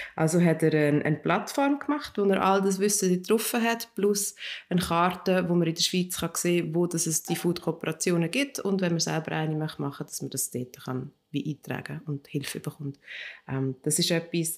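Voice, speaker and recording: In a very clean recording with a silent background, a woman speaks in a normal speaking voice at a fairly low pitch, with lively intonation and a moderate pace. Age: 40s. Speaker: co-founder of a community funding project. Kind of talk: interview. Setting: in the organisation's office in Zurich.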